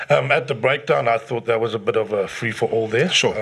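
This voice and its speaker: Here is a man with a normal speaking voice. He goes at a fairly quick pace, his pitch varying in an ordinary way. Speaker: rugby pundit, regular co-host. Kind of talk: casual sports chat.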